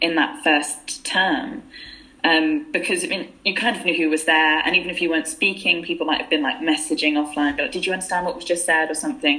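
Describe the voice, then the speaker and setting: Over noticeable background noise, the speaker talks at a fairly quick pace with lively intonation. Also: woman. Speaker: university student and contributing author.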